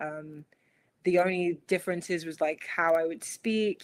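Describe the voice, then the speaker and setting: A woman with an American accent, a fairly low pitch and a monotone, flat intonation, in a very clean recording with a silent background. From London, England. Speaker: small business owner. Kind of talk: interview. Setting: podcast stream.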